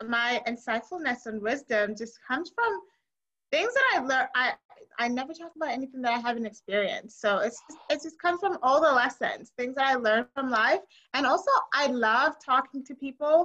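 A woman uses a raised, projected voice with a high pitch and a bright, sharp tone. Her intonation is lively and her pace moderate. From Zimbabwe. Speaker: guest. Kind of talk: casual chat. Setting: Indianapolis, US.

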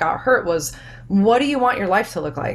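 A woman speaks with an American accent. Her tone is animated. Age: young. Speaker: army veteran, fitness business owner. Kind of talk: casual interview chat.

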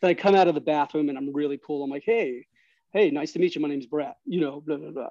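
A man with an American accent speaks very fast. His tone is dark and mellow, and his pitch is fairly high. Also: ordinary pitch variation, dry, close sound with no echo. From New York City, Astoria, Queens. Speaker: guest storyteller. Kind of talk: casual interview storytelling. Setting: outdoor patio. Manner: animated.

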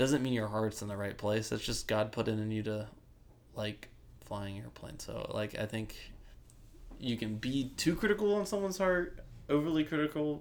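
A man with an American accent, very wide pitch swings, a moderate pace and long, frequent pauses. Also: medium pitch for a man. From Ohio, US Midwest. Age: 20s. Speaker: construction worker. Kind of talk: casual chat. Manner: halting, many fillers.

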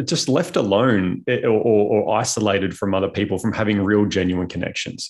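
Against a quiet background, a man talks at a moderate pace in a plain, everyday voice, his pitch fairly low with ordinary pitch variation. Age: 30s. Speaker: conscious parenting coach. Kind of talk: casual interview.

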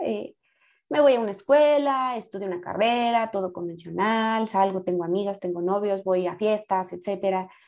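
At a moderate pace over a quiet background, a woman speaks in a plain, everyday voice with ordinary pitch variation. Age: 20s. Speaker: podcast guest. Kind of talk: casual chat.

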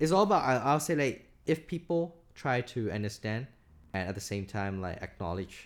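In a very clean recording with a silent background, a man with a medium-pitched voice talks at a moderate pace with lively intonation. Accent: Burmese. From Myanmar. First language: Burmese. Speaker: podcast guest, recent graduate. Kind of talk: casual chat.

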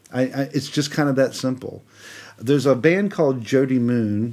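A man's medium-pitched, dark, mellow voice with an American accent, at a moderate pace. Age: 50s. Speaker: composer. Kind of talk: casual chat.

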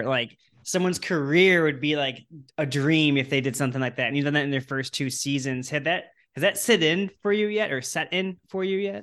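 Over a quiet background, a man with a plain, everyday voice speaks at a fairly high pitch and a moderate pace with ordinary pitch variation. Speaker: podcast co-host interviewer. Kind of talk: casual interview chat.

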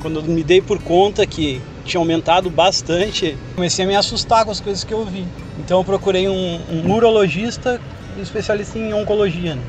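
Noticeable background noise surrounds a man speaking at a high pitch. His pace is moderate, with ordinary pitch variation. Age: 30s. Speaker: cancer survivor. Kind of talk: testimony. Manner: halting.

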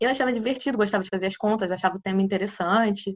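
A woman speaks in an unremarkable speaking voice, medium in pitch with ordinary pitch variation. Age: 20s. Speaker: physics PhD student and teacher. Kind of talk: casual interview chat.

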